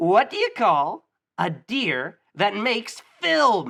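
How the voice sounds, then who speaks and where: A very slow cartoonish character voice from a man, high in pitch. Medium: puppet. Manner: upbeat, jokey.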